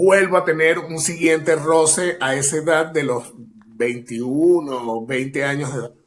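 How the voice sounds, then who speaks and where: A man with a normal speaking voice talks at a fairly slow pace, his pitch fairly high and his intonation fairly even. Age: 40s. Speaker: actor and acting teacher. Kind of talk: casual interview chat.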